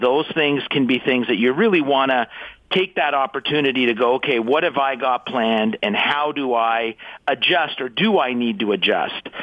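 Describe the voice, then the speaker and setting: Lively intonation marks this plain, everyday voice, which moves at a moderate pace. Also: man. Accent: Canadian. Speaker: estate planning expert. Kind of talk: interview.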